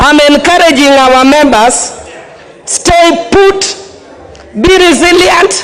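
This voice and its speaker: Very slow speech over noticeable background noise. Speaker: member of parliament. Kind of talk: heated debate. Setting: parliament chamber.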